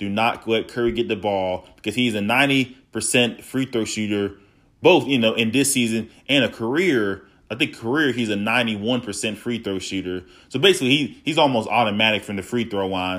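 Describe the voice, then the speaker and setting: Recorded very cleanly against a silent background, a man talks at a fairly quick pace. His pitch sits in the medium range with ordinary pitch variation. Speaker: solo podcast host. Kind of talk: casual solo podcast monologue. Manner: raised voice, agitated.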